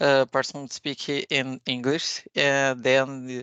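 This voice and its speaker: A woman with a Portuguese accent speaks in a very deep, low pitch. Her pace is very slow, and the sound is dry and close with no echo. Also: quiet background. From Brazil. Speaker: software architect, conference speaker. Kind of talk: technical conference talk. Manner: halting, many fillers.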